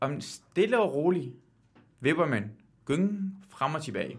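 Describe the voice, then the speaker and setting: A man's fairly high, fry-tinged voice with very wide pitch swings, a very slow pace and long, frequent pauses. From Iran. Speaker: quiz show guest, TV host. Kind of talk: casual chat.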